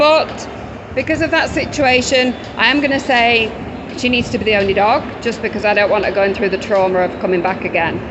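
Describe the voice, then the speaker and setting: A woman with an English accent talks at a fairly quick pace and fairly high pitch, with lively intonation and very even loudness. Audible room echo and noticeable background noise are present. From England. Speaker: dog rescue worker. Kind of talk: casual video walkthrough. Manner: casual, conversational.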